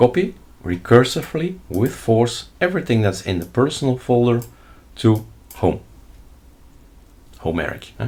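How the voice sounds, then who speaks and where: The speaker is a man. He talks with a Flemish accent. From Flanders, Belgium. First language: Dutch (Flemish). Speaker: Linux tutorial YouTuber. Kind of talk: screen-recorded tutorial. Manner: casual, thinking aloud while demonstrating.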